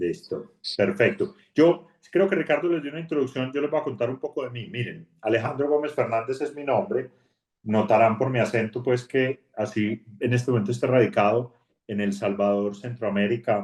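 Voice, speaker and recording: In a strong Colombian accent, a man speaks at a moderate pace and medium pitch with lively intonation. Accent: strong paisa Colombian. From Colombia, Antioquia. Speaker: bank HR executive. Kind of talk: online talk. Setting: video call. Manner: conversational.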